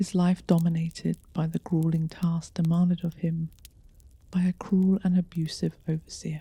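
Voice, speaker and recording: Soft-spoken and somewhat breathy, a woman with a dark, mellow tone and fairly low pitch talks in a monotone, flat intonation at a moderate pace, with a dry, close sound and no echo. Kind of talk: ghost story narration. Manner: seductive, soft-spoken.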